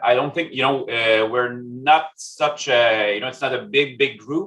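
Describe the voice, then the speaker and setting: A man with a French-Canadian accent, ordinary pitch variation and a moderate pace. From Quebec, Canada. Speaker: statistics consultant. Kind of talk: presentation. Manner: halting, many fillers.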